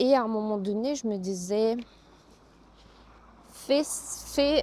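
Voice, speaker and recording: A woman speaks at a very slow pace with a fairly high pitch and ordinary pitch variation. Her loudness swings widely. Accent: Russian. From Russia. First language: Russian (speaking French). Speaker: yoga teacher. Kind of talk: casual vlog talk. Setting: outdoors, walking. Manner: hesitant, with fillers.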